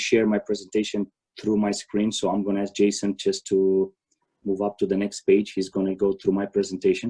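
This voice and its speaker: A man's fairly low voice with a dark, mellow tone and a Romanian accent, at a fairly quick pace in monotone, flat intonation, with a dry, close sound and no echo. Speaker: tennis coach. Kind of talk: conference presentation. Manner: halting.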